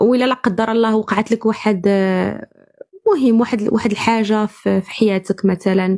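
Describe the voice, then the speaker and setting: A woman's dark, mellow tone at a moderate pace, with fairly even intonation and a dry, close sound with no echo. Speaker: caller in a live debate stream. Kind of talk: heated debate.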